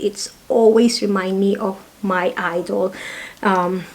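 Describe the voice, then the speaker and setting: A woman's medium-pitched voice keeps a fairly even intonation against noticeable background noise. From Philippines. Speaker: perfume reviewer. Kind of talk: casual product review vlog. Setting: home. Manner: halting.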